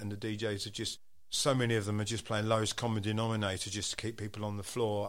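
A man in an Essex accent, fairly low in pitch, talking very fast amid audible room echo. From Southend, Essex, England. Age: 50s. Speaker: percussionist and DJ. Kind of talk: casual interview chat.

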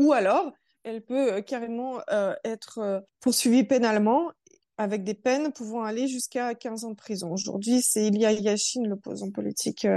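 A fairly high-pitched woman's voice with a dark, mellow tone, moderate pace and ordinary pitch variation. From born in Russia, raised in France. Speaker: human rights association spokesperson. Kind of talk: interview.

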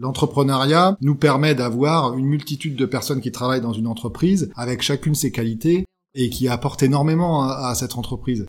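A man with a plain, everyday voice talks at a fairly quick pace, using a medium pitch and ordinary pitch variation. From Champagne, France. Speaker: winegrower. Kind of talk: interview.

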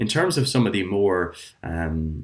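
Very deep and low, a man's voice comes with an Irish accent. The recording is very clean with a silent background. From Ireland. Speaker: physiotherapist. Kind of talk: casual chat.

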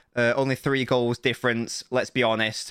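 A man's voice has a bright, sharp tone. The recording is very clean, with a silent background. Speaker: football podcast co-host. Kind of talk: casual chat. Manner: animated.

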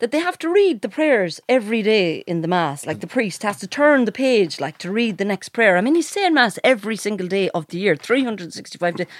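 A woman's fairly high voice in an Irish accent with very wide pitch swings, a fairly quick pace and hardly any pauses. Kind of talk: casual banter podcast chat. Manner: joking, animated.

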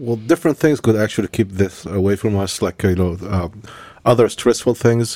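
With an Egyptian accent, the speaker has a dark, mellow tone, ordinary pitch variation and a moderate pace, recorded with a dry, close sound and no echo. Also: man, fairly low pitch for a man. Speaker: religious leader, co-host. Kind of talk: casual conversation.

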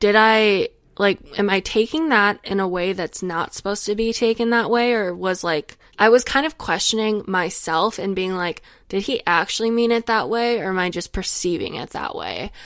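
Recorded very cleanly with a silent background, a woman with an American accent speaks at a moderate pace and medium pitch with ordinary pitch variation. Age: 20s. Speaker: podcast host. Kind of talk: solo casual monologue. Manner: rambling, tangential.

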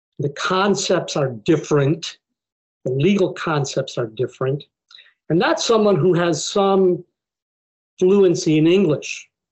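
A man with an American accent talks at a fairly slow pace with long, frequent pauses, his high pitch showing ordinary variation. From Buffalo, New York, US; Mexican community. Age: 60s. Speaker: immigration law professor. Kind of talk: interview conversation.

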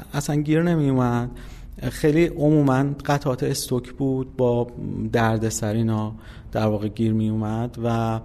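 This man's voice sits at a medium pitch with a dark, mellow tone. He speaks in an Isfahani accent. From Iran, Isfahan. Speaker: game company founder. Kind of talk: interview.

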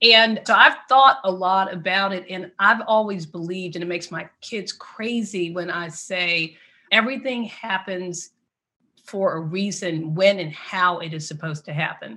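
Bright and sharp in tone, a woman with an American accent talks at a medium pitch with ordinary pitch variation. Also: moderate pace, big swings in loudness. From Washington, D.C. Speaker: PR executive. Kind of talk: interview. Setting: call.

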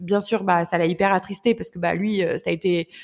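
The recording is very clean with a silent background, and the woman in it speaks fairly quickly. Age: 20s. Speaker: entrepreneur and speaker. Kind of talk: casual interview.

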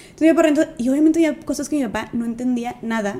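A woman talks at a very fast pace with ordinary pitch variation. Noticeable background noise runs underneath. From Mexico, Monterrey. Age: 20s. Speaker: social media activist and speaker. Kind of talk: casual chat.

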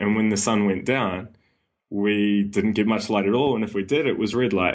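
A man with a New Zealand accent speaks at a fairly low pitch. His pace is moderate and his intonation fairly even. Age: 20s. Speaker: personal trainer and sleep coach. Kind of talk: casual interview.

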